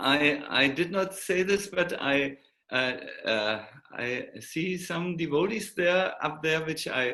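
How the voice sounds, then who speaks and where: Speaking at a very slow pace, a man with a German accent uses a fairly high pitch and lively intonation. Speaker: monk and spiritual teacher. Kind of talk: online talk farewell. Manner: halting, many fillers.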